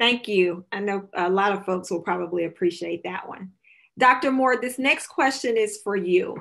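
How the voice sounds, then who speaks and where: This woman speaks at a medium pitch and a moderate pace, with ordinary pitch variation. The background is quiet. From Alabama, Talladega County; Alabama. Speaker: nonprofit director and moderator; moderator. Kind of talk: panel moderation. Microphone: webcam.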